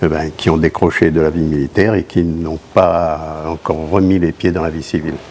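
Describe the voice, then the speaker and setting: Over noticeable background noise, a man with a very deep, low pitch talks at a moderate pace in a flat monotone, with hardly any pauses. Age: 80s+. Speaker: war veteran. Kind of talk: interview. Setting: on location at a school exhibition. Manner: halting.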